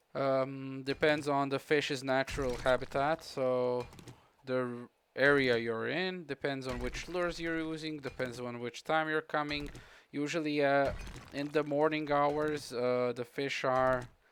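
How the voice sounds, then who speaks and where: A man with a Croatian accent and a fairly high pitch speaks at a fairly slow pace in a monotone, flat intonation. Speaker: gaming streamer. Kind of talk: live gameplay commentary with chat. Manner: casual, halting with fillers.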